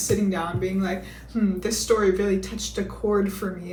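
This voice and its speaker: A woman at medium pitch and moderate pace, with an American accent, audible room echo and noticeable background noise. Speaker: book reviewer. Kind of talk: casual book review monologue. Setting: home video, seated in a chair. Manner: casual, sarcastic.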